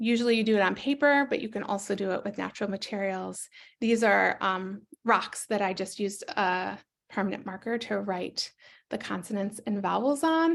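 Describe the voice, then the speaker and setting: A woman speaks with an American accent. Her pitch is medium, with ordinary variation. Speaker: educator presenting a teaching book. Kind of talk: webinar presentation. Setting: online webinar. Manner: fast.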